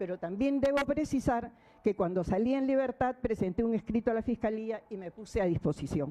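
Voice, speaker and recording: Fairly high in pitch, a woman's voice carries a dark, mellow tone. She talks at a fairly quick pace with lively intonation. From Peru. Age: 60s. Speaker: defendant in court. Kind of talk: court statement. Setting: courtroom. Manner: formal.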